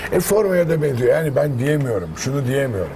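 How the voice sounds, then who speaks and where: Against light background noise, a man speaks at a fairly high pitch with very wide pitch swings. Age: 50s. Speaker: actor and voice artist; actor. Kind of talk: casual chat. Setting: sports club store. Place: shop.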